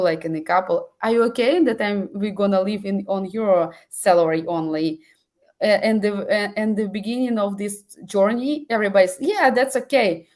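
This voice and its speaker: This woman speaks at a medium pitch and a moderate pace, her pitch varying in an ordinary way. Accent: non-native. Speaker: webinar host. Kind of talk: webinar interview. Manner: halting.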